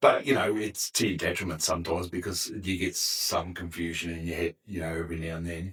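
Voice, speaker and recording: The speaker talks at a fairly quick pace with fairly even intonation, in an Australian accent. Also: man, very deep, low pitch for a man, hardly any pauses. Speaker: podcast guest, former firefighter. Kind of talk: casual interview chat. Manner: loud.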